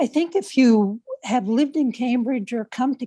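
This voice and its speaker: A woman's dark, mellow voice sits high in pitch, moving at a fairly slow pace against a quiet background in a dry, close sound with no echo. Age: 70s. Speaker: public commenter at city meeting. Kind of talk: public comment.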